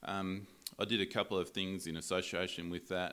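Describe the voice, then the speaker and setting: In an Australian accent, a man speaks with a very deep, low voice on a very clean recording with a silent background. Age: 40s. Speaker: breed association chief executive and cattle farmer. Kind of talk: casual interview. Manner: halting, many fillers and repeats.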